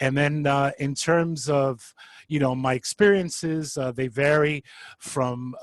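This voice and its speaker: Speaking with a New York accent, a man talks at a fairly slow pace. His medium-pitched voice keeps a fairly even intonation. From New York City, Bronx. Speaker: social worker and adjunct professor. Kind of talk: panel introduction.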